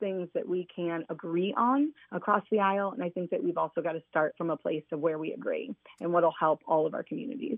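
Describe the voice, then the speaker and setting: Speaking at a fairly quick pace, a woman uses a fairly low voice in a Midwestern American accent. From Indiana (Fort Wayne). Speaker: school principal and political candidate. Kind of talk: radio interview. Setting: phone call.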